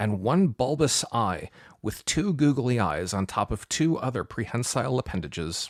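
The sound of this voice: Intonation stays lively throughout an unforced reading voice.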